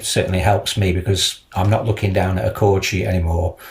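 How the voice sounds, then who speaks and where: Fairly even intonation marks a man's speech over noticeable background noise. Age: 70s. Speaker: guitar student. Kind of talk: interview. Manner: halting.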